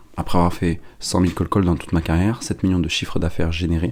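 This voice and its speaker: The delivery is very fast with fairly even intonation. Noticeable background noise runs underneath. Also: man. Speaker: podcast host and sales agency founder. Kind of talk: scripted podcast intro.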